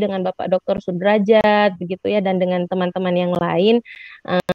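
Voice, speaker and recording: Fairly quick speech from a woman at a medium pitch. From Lampung, Sumatra, Indonesia. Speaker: university lecturer in social studies education. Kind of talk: webinar presentation. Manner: frequent fillers, hesitant.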